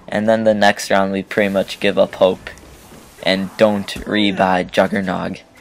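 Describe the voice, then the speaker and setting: Over noticeable background noise, a man with a fairly low pitch speaks in a monotone, flat intonation. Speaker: gaming commentator. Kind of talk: gameplay commentary. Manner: relaxed, chill; halting, repeats words.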